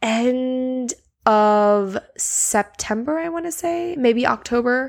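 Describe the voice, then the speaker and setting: A woman mumbling. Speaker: podcast host. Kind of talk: casual solo monologue, podcast intro. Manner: casual, rambling, enthusiastic; filler-heavy, with stutters and mumbles.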